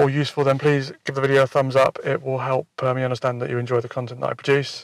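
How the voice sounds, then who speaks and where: Quiet and very fast, a man speaks at a medium pitch in a monotone, flat way, with a dry, close sound and no echo. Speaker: wildlife photographer vlogger. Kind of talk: casual vlog narration to camera. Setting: outdoors at dusk. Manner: hesitant, many fillers and repeats; quiet, keeping voice down.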